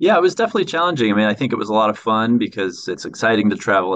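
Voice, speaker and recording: This is a man speaking. He has an American accent. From San Francisco, California, US. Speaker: structural engineer. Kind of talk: interview.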